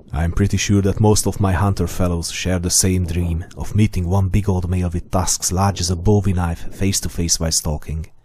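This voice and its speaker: With noticeable background noise behind him, a man with a very deep, low voice speaks at a moderate pace in a flat monotone, hardly pausing at all. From Hungary. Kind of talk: scripted narration.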